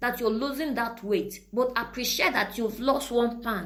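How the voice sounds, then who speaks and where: A high-pitched woman with ordinary pitch variation speaks amid noticeable background noise and audible room echo. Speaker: motivational podcast host. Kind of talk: motivational talk.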